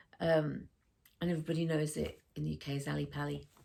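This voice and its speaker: A woman at a moderate pace, with a slight northern English accent. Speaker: sewing vlogger. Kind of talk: casual vlog chat. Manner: chatty, hesitant with many fillers.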